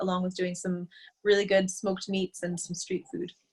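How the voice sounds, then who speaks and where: A woman with an American accent speaks at a medium pitch with fairly even intonation. Her voice is somewhat breathy. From United States. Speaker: food business owner. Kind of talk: interview.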